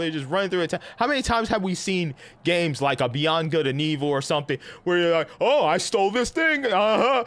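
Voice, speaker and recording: A man with a New York accent speaks in an animated tone at a high pitch, his voice rising and falling in very wide swings. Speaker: gaming streamer. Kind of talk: casual live-stream chat.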